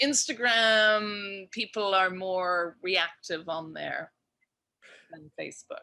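A woman with an Irish accent speaks at a very slow pace and a medium pitch. Her tone is bright and sharp, with ordinary pitch variation. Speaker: cannabis edibles maker. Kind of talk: casual interview chat.

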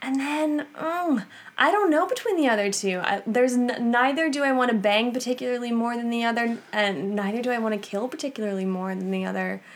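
A woman speaks with an American accent in a high voice. Her intonation is lively. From US Northeast, Long Island, New York. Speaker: podcast co-guest, host's wife. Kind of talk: casual chat.

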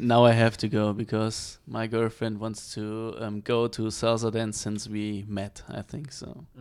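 A man speaks fairly slowly with a German accent and hardly any pauses. His intonation stays flat and monotone. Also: medium pitch for a man, big swings in loudness. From Germany.

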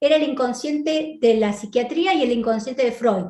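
A woman speaks with an Argentine accent. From Argentina. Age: 50s. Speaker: psychiatrist and abundance coach. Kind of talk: online conference talk.

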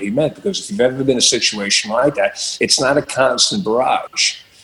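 Noticeable background noise under a man's fairly quick, medium-pitched delivery with ordinary pitch variation. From Long Island, New York. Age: 50s. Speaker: rock guitarist and music director. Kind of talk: interview.

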